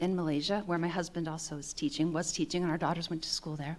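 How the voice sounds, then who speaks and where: A very fast pace with hardly any pauses. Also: woman. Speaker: storyteller, teacher. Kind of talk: live storytelling. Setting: stage with audience. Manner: halting.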